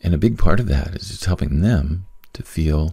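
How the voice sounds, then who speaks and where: Soft-spoken and very deep, this man's low voice moves with ordinary pitch variation. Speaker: podcast host and business coach. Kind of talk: casual solo monologue. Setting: at home late at night. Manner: soft-spoken, quiet; rambling with many fillers.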